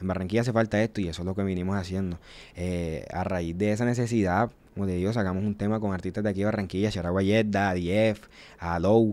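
A man talks at a very fast pace in a fairly low pitch. His intonation is monotone and flat. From Colombian Caribbean coast, small town. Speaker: rapper; podcast guest. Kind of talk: interview. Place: studio. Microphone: studio mic.

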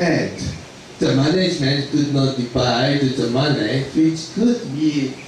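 Fairly slow speech from a man with a Japanese accent, fairly high pitch and ordinary pitch variation, with strong room echo and light background noise. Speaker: lecturer on accounting. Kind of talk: lecture. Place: hall.

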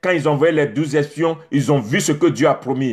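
A man speaks at a very fast pace in a fairly high voice. The background is quiet. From Côte d'Ivoire. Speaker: preacher. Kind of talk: sermon. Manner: animated. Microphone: phone near.

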